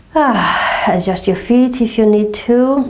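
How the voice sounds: Speaking slowly in a Portuguese accent, a woman has a dark, mellow tone and fairly even intonation, with audible room echo.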